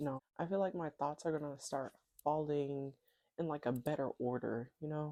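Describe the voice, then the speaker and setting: A woman's very deep, low, mumbling voice, dark and mellow in tone, with ordinary pitch variation and a dry, close sound with no echo. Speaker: vlogger. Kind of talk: casual vlog monologue. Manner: tends to mumble, talks under breath; rambling, chatty.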